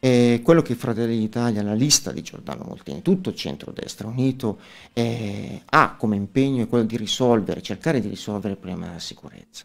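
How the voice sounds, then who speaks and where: Very fast, lively speech from a man, with big swings in loudness, over a quiet background. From northern Italy, Como; northern Italy. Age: 40s. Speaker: local election candidate and lawyer; election candidate, lawyer. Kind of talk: radio interview. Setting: studio. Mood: earnest, persuasive. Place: studio. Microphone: studio mic.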